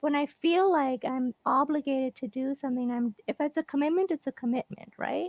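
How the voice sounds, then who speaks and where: The soft-spoken voice moves at a fairly quick pace with ordinary pitch variation. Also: woman, high pitch for a woman. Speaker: guest on a live show. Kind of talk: casual interview chat.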